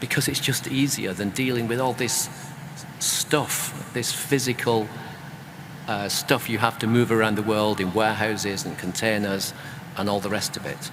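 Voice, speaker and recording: Over noticeable background noise, a man of medium pitch speaks at a moderate pace with fairly even intonation. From UK. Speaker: author and creative business consultant. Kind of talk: panel discussion.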